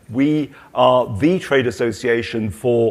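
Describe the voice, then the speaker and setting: Here a man speaks with a British accent. His pitch sits in the medium range. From Britain. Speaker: trade association president, former company director. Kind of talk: panel discussion. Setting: stage with audience at trade show.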